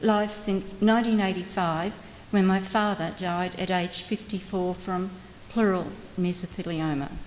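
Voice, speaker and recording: With an Australian accent, a woman speaks at a medium pitch and fairly even intonation. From Australia, Melbourne. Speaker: mesothelioma patient and advocate. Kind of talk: testimony.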